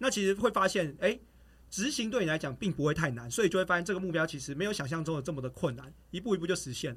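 Recorded very cleanly against a silent background, a man talks at a very fast pace. His pitch is high and his intonation lively. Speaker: track athlete and running coach. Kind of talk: casual chat.

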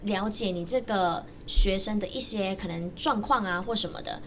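There is audible room echo and noticeable background noise as a woman with a Taiwanese accent speaks at a moderate pace. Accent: Taiwanese Mandarin. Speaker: university student and jump rope coach. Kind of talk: casual chat.

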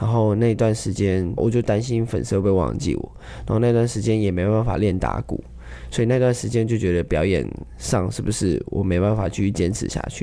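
A man with a normal speaking voice talks at a fairly quick pace. His pitch is fairly low, with ordinary pitch variation. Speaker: street drummer. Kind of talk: casual interview.

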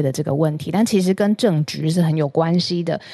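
Fairly low in pitch with ordinary pitch variation, a woman speaks in a Taiwanese accent with a dark, mellow tone. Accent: Taiwanese Mandarin. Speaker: news podcast co-host. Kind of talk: casual news discussion.

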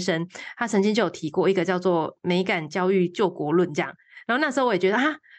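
A woman's medium-pitched voice moves with lively intonation against a quiet background. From Taiwan, Changhua. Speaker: environmental artist and primary school teacher. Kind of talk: interview. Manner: halting, many fillers.

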